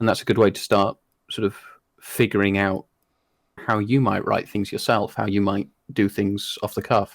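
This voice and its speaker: A man with a British accent at a fairly low pitch, monotone and flat, at a moderate pace with long, frequent pauses, in a dry, close sound with no echo on a very clean recording with a silent background. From Britain. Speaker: hypnotist. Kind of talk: interview.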